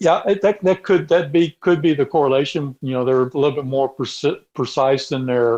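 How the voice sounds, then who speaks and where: This voice in a Texas accent moves at a moderate pace with hardly any pauses. Its pitch varies in an ordinary way. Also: man, fairly high pitch for a man. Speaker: robotics mechanic. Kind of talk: casual interview. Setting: remote call from garage. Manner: halting, many repetitions. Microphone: connection cutting out.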